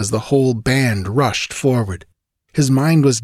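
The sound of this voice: Over a quiet background comes an unforced reading voice with ordinary pitch variation.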